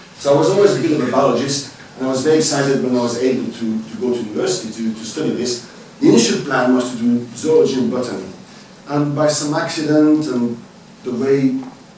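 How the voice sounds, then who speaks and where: There is audible room echo and noticeable background noise behind this man. He speaks at a fairly quick pace and medium pitch, with a Swiss French accent. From French-speaking Switzerland, Lausanne. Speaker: university biologist, parasitologist. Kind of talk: lecture. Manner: halting.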